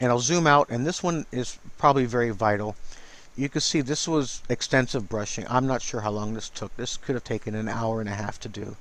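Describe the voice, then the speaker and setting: At a fairly quick pace, a man talks with medium pitch and ordinary pitch variation. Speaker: digital artist. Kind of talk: tutorial. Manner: casual; mumbling.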